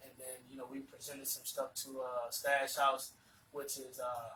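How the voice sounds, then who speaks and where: A man with a South Carolina Lowcountry accent speaks at a fairly quick pace with medium pitch. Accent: Southern US, South Carolina low country. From South Carolina, Georgetown area (low country). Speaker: rapper. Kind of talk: casual interview chat.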